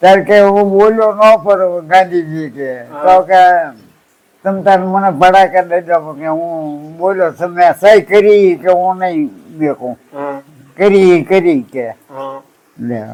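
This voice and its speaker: This man has a high pitch and ordinary pitch variation. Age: 80s+. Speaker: elderly villager recalling pre-independence days. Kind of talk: casual reminiscing conversation.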